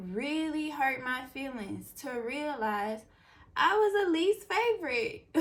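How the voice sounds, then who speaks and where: A woman speaks loudly in an animated tone, her pitch swinging very widely. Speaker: beauty vlogger. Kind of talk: casual chat.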